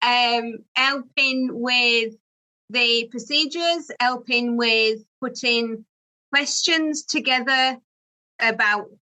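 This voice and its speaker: The tone is bright and sharp, in a Yorkshire accent, delivered at a very slow pace with very even loudness and fairly even intonation. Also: woman, high pitch for a woman. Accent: Barnsley (Yorkshire). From northern England, Barnsley, South Yorkshire. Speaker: pet sitting business owner. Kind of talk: interview.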